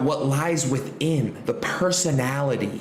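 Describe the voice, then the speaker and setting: An animated tone at a fairly slow pace, with audible room echo and noticeable background noise. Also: man. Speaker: trading educator. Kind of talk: tutorial.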